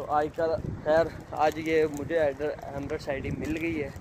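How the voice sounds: A man's fairly high-pitched voice.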